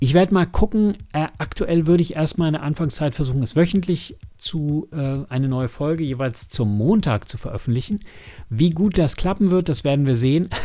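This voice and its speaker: With a dark, mellow tone, the voice moves at a moderate pace with lively intonation. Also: man, fairly high pitch for a man. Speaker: podcast host and audio drama producer. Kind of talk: casual solo monologue. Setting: home studio.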